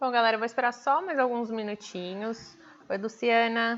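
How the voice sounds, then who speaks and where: A woman at a moderate pace. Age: 30s. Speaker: nutrition program coach. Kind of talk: live stream talk. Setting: livestream. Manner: animated.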